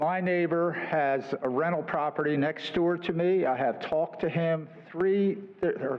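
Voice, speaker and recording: A man's high-pitched voice with fairly even intonation, audible room echo and noticeable background noise. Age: 70s. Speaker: resident speaking at public comment. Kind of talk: public comment at council meeting. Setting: city council meeting, at podium mic. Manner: halting, many fillers.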